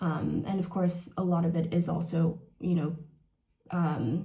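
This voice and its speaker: Audible room echo surrounds this woman's fairly low voice. Her tone is dark and mellow, and somewhat breathy. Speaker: beauty vlogger. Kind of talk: casual chat. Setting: bathroom. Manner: halting.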